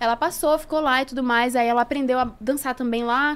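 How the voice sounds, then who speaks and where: Delivered at a very fast pace, the speech has a Pará accent and fairly even intonation. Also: woman. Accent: northern Brazilian (Pará). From Belém, Pará, northern Brazil; Pará, Brazil. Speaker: actress and dancer; actress. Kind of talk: casual chat. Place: studio. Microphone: studio mic.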